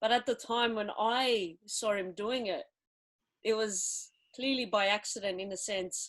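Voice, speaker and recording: Fairly slow, fairly even speech with an Australian accent, on a very clean recording with a silent background. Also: woman, fairly high pitch for a woman. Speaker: filmmaker. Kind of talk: casual interview chat.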